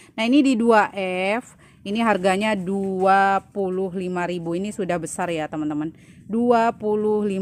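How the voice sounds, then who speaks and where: A woman speaks at a very slow pace with ordinary pitch variation, in a dry sound with no echo. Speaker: plant seller. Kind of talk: sales presentation. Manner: brisk, run-on listing of prices and leaf traits with little pause; friendly, chatty, peppered with 'ya teman-teman' fillers. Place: garden. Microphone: phone near.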